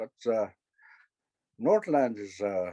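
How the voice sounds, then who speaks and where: A man's dark, mellow tone at a very slow pace, with a dry, close sound and no echo. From northern Manitoba, Canada (Dene First Nation). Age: 60s. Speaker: First Nations elder. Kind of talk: talk to an audience. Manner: halting, many fillers and repetitions.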